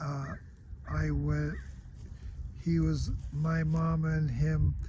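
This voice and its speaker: With an American accent, the speaker goes at a very slow pace amid audible room echo. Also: man. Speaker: video blogger. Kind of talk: personal monologue. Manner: halting.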